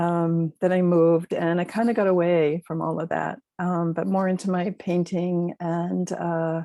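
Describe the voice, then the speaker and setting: A dark, mellow tone delivers monotone, flat intonation in a very clean recording with a silent background. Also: woman, dry, close sound with no echo. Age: 70s. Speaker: retired artist and parenting teacher. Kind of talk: interview.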